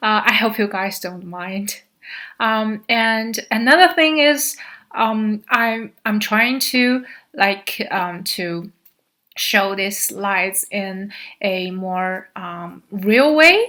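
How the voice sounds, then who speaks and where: A woman's bright, sharp voice at a fairly high pitch, very slow, with a Chinese accent, on a very clean recording with a silent background. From China, Xi'an. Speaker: graduate student. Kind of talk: slide presentation. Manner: halting, many fillers.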